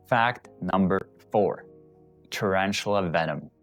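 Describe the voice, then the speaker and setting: Music plays in the background as a man with a very deep, low pitch speaks at a fairly slow pace. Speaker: tarantula keeper, educational video host. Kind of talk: educational facts narration to camera. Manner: casual, hesitant.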